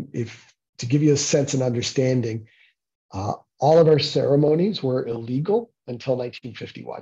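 With a Canadian accent, a man talks at a moderate pace, his tone dark and mellow and somewhat breathy. His pitch varies in an ordinary way, and the background is quiet. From Toronto area, Ontario, Canada. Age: 50s. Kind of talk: lecture. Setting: meeting room with audience. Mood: calm, earnest. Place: home room. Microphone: video call.

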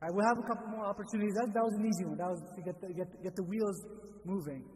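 This man talks at a very fast pace in a high-pitched voice. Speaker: religious teacher. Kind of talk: lecture. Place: church. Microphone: studio mic.

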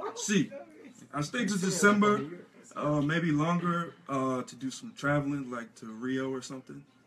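A man talks at a fairly slow pace with a fairly high pitch and lively intonation. His loudness swings a lot, with light background noise. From United States. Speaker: American football player; interviewee. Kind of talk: radio interview. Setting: radio studio. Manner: halting. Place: studio.

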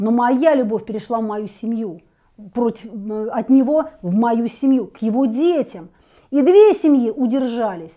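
A woman speaks at a moderate pace in a high voice, with lively intonation and an animated tone. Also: quiet background. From Russia, Bryansk; Russia. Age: 50s. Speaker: history lecturer and political blogger; lecturer. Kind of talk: online lecture. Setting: video stream. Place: home room. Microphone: lapel.

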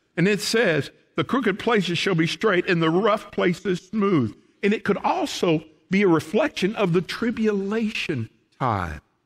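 A man's high voice in a Southern US accent, lively in intonation and very even in loudness, over a quiet background. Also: moderate pace. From Oklahoma. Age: 60s. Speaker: pastor. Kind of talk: sermon. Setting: church. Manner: folksy. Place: church.

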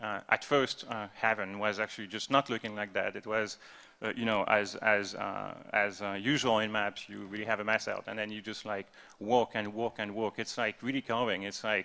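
The speaker talks at a moderate pace in a French accent, with a bright, sharp tone. The intonation stays monotone and flat. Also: man, fairly low pitch for a man. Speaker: game developer, art/design lead; panelist. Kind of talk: convention panel talk. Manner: halting, many fillers and repetitions. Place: hall.

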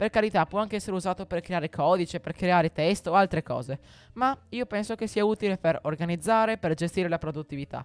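A man's high-pitched voice at a very fast pace, with ordinary pitch variation and a dry sound with no echo. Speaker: tech YouTuber; tech youtuber. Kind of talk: tutorial. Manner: halting, with frequent repetitions. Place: home room. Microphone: studio mic.

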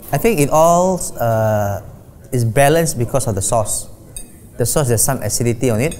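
Over light background noise, a man speaks with a dark, mellow tone. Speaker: guest. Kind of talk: casual tasting commentary. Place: home room. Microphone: lapel.

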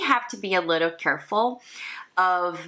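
A woman with a non-native accent speaks in a bright, sharp tone against a quiet background. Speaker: motivational lifestyle vlogger. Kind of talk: casual talk to camera. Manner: informal, improvised. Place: home room. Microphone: camera far.

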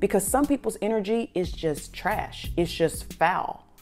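A woman speaks while faint music plays in the background. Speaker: motivational vlogger. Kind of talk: motivational talk to camera. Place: home room. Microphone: lapel.

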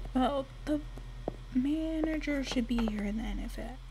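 A woman speaking at a fairly slow pace over noticeable background noise. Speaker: gamer. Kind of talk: casual gaming commentary. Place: home room. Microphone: webcam.

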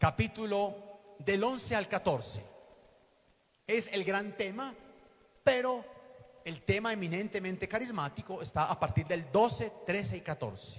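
A man's high-pitched voice with lively intonation, a very slow pace and long, frequent pauses. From Colombia, western Antioquia. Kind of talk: teaching talk at a religious conference. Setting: hall with live audience. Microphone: handheld.

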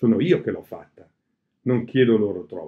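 With a quiet background, a man speaks in a Bergamasque accent. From Bergamo area, Lombardy; Lombardy, Italy. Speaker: cultural organizer and reader; reader. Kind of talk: reading aloud. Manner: halting. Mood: calm, reflective. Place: home room. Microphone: webcam.

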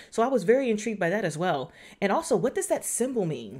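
Over a quiet background, the speaker talks at a very fast pace with very wide pitch swings. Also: woman. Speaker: show reviewer. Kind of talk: casual review commentary. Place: home room.

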